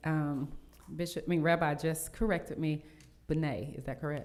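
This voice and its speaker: In a Southern US accent, a woman talks at a moderate pace with audible room echo. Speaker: mayor. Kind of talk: reading a proclamation; city council meeting remarks. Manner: halting with fillers.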